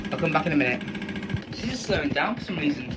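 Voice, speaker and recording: Very fast speech over loud background noise. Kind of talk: casual commentary. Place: workshop. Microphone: phone near.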